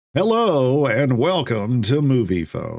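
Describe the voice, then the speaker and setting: A put-on character voice from a man, delivered fairly slowly. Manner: announcer-style.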